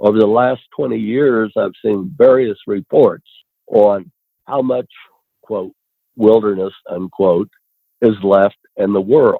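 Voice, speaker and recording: A man speaks with an American accent at a fairly low pitch, his delivery very slow. Long, frequent pauses break up his speech, and his pitch varies in an ordinary way. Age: 70s. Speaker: conservationist. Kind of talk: podcast interview. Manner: conversational.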